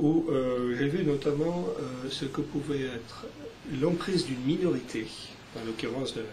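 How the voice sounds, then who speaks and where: A man talks at a medium pitch with ordinary pitch variation. Noticeable background noise and audible room echo come through. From Algeria (French Algeria), then France. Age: 50s. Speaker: journalist and author. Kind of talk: interview. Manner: hesitant, many fillers.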